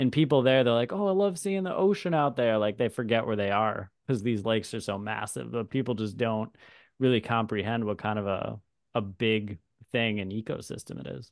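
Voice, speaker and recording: A man with a normal speaking voice at a medium pitch, a fairly quick pace and lively intonation, against a quiet background. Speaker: birding podcast host. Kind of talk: casual interview chat.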